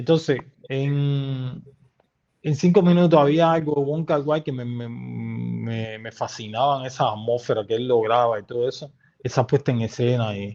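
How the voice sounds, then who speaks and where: At a fairly slow pace, a man speaks in a medium pitch with a dark, mellow tone and ordinary pitch variation. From eastern Cuba, Santiago de Cuba. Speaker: filmmaker and journalist. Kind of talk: interview conversation. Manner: halting, many repetitions.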